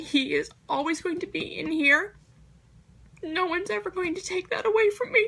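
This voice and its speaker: A woman projects a raised voice at an extremely high pitch, with lively intonation. Her tone is bright and sharp. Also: moderate pace. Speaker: nursing student. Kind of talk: class presentation.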